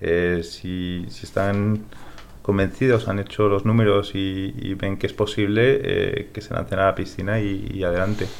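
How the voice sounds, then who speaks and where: A man with a Spanish accent speaks at a fairly slow pace, his pitch varying in an ordinary way. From Spain (born in California, raised in Spain from age 8). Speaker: tech startup co-founder. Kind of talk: interview. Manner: repeats words, hesitant.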